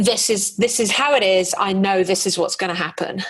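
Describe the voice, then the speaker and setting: A woman speaks at medium pitch with an English accent. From England. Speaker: podcast host. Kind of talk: podcast interview.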